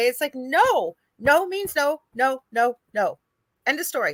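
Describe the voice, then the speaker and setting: A woman's raised, projected voice has a bright, sharp tone. The sound is dry and close, with no echo. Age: 50s. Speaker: radio show host and psychic medium. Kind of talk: casual interview chat. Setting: live radio.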